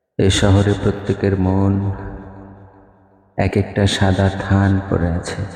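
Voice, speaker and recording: Speaking in a fairly low pitch, a man delivers his words with a monotone, flat intonation. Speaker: voice-over artist. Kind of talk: poetry reading. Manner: emotional, somber.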